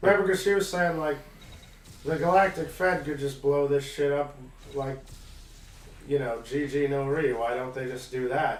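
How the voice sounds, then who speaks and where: Audible room echo surrounds a man speaking at a moderate pace in a fairly high pitch. His pitch variation is ordinary, and he leaves long, frequent pauses. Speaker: let's play gamer. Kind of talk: casual chat.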